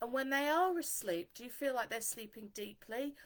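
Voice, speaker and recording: A woman speaks loudly with a bright, sharp tone and lively intonation. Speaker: dog trainer. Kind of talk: live stream talk. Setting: Facebook Live stream.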